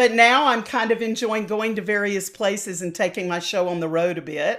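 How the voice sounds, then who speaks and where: A woman's fairly high pitch with lively intonation at a moderate pace. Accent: North Carolina. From US South. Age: 60s. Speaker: opera singer and voice teacher. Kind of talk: interview. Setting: podcast interview.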